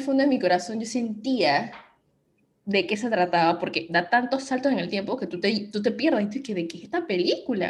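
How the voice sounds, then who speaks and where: With lively intonation and a somewhat breathy voice, a woman speaks at a moderate pace in a fairly high pitch. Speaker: podcast host. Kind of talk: casual chat.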